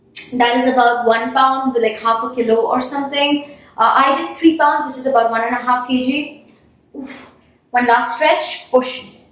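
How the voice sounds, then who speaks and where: At a moderate pace, a woman with a high pitch speaks in a monotone, flat way, with audible room echo. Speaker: fitness instructor. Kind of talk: workout instruction. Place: home room.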